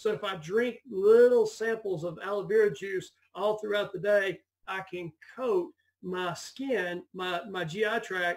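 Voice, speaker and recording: Pitch varies in an ordinary way while the speech unfolds fairly slowly. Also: man, high pitch for a man. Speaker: physician giving health talk. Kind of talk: health talk to a group.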